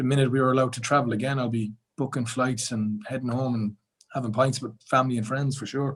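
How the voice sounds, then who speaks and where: With an Irish accent, a man speaks at a very fast pace, somewhat breathy and with monotone, flat intonation. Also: medium pitch for a man. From Ireland. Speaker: podcast guest. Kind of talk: casual chat.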